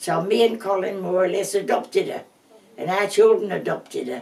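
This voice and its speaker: A woman speaks at a moderate pace, with noticeable background noise in the recording. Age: 80s+. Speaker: family elder. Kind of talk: reminiscing interview. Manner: halting.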